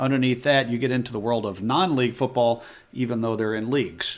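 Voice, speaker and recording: A man with an American accent speaks at a fairly quick pace in a plain, everyday voice, with a medium pitch and ordinary pitch variation. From United States. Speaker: football explainer video host. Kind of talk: explainer tutorial.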